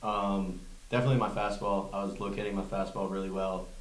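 A man speaks at a low pitch and a fairly quick pace, with little pitch movement. Room echo is audible.

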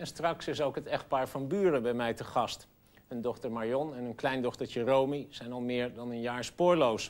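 Speaking at a fairly slow pace, a man keeps ordinary pitch variation. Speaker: TV presenter. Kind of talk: broadcast presentation. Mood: serious, measured. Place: studio.

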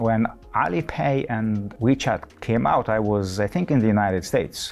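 Faint music sits in the background. Over it, a man talks at a moderate pace. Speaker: professor being interviewed. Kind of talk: interview answer. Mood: relaxed, amused. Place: studio. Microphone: lapel.

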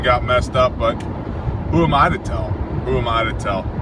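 Loud background noise sits behind a dry sound with no echo. The pace is moderate. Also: man. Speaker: prepper channel host. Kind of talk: casual talk to camera. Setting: in a car. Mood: joking, relaxed. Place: car. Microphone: phone near.

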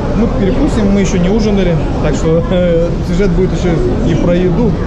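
A man speaks over loud background noise. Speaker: travel vlogger. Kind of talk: casual vlog chat. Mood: cheerful, relaxed. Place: shop. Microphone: phone near.

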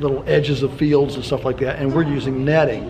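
Noticeable background noise sits under the recording. Over it, a man speaks at a fairly quick pace. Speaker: interviewee. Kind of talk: interview answer. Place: meeting room.

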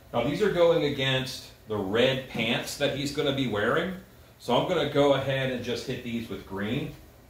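A man speaks at a moderate pace with ordinary pitch variation, some audible room echo and light background noise. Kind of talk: casual tutorial chat. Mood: relaxed, playful. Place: workshop. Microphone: camera far.

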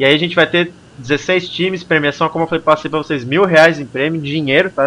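Talking at a very fast pace, a man keeps his fairly high voice at a fairly even intonation. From Brazil. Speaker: gaming livestream host; stream host. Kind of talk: casual chat. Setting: live stream with Skype call. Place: home room. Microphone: headset.

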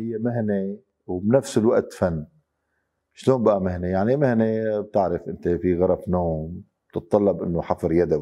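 Over a quiet background, a man talks at a fairly slow pace in a fairly low, dark, mellow voice with ordinary pitch variation. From Syria, Damascus. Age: 50s. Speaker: wood carver. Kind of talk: interview testimony. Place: workshop.

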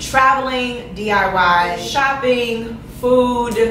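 A woman with an American accent speaks very slowly, her voice fairly high with ordinary pitch variation. Noticeable background noise and audible room echo fill the recording. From Chicago, West Side. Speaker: YouTuber, esthetician. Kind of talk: casual vlog Q&A.

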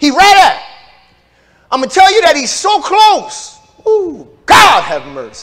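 A man with an extremely high pitch speaks fairly slowly in an animated tone with lively intonation. His loudness swings widely, with long, frequent pauses against a quiet background. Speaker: pastor. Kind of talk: sermon. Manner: animated, preaching with call-and-response. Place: church. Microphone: lapel.

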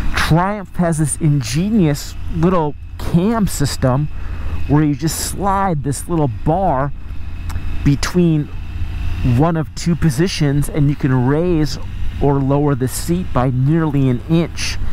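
At a very slow pace with long, frequent pauses, the voice comes through in dry sound with no echo over light background noise. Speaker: motorcycle reviewer. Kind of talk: commentary. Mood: relaxed, appreciative. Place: motorbike.

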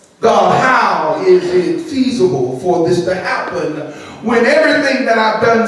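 With strong room echo and light background noise, a man's voice makes very wide pitch swings. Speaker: preacher. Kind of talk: sermon. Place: church.

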